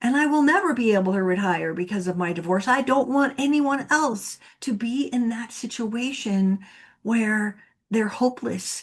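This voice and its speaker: Somewhat breathy and fairly high in pitch, a woman speaks at a fairly slow pace with ordinary pitch variation over a quiet background. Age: 60s. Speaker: divorce coach and podcast host. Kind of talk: interview conversation.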